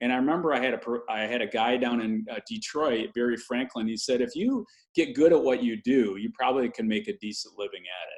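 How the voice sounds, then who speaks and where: With an American accent, a man talks at a very fast pace with lively intonation. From Michigan, US (Lansing). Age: 60s. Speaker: health and wellness speaker. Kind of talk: interview conversation.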